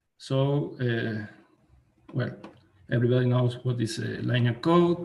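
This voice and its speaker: Somewhat breathy and fairly slow, a man with a Spanish accent speaks at a medium pitch with ordinary pitch variation. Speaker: mathematician. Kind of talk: academic lecture. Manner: halting, many fillers. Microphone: too quiet for listeners.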